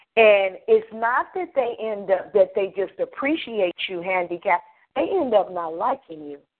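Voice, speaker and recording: An ordinary speaking voice, a woman's, moves at a moderate pace in a medium pitch with big swings in loudness. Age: 50s. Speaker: financial consultant. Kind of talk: radio interview.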